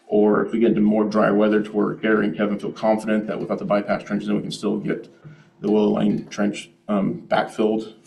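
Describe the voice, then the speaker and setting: Background noise is noticeable, and room echo can be heard. A man speaks very fast. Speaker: developer presenting to city council. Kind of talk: public meeting presentation. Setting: city council meeting.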